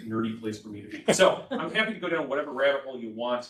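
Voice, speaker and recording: A man's voice with audible room echo. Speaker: transit agency presenter. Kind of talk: briefing presentation. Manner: loud; casual, filler-heavy.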